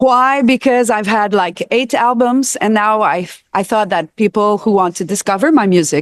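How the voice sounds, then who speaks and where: A woman with a French Canadian accent speaks at a moderate pace in a fairly high pitch, her loudness very even against a quiet background. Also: ordinary pitch variation, dry, close sound with no echo. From Quebec, Montreal. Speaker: singer and recording artist. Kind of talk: casual interview at a trade show. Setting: live at an audio show.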